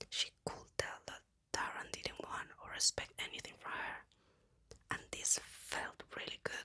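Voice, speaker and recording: Whispering in a calm tone, a man speaks at a fairly slow pace. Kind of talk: ASMR whisper book reading. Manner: whispered, soft-spoken, calm.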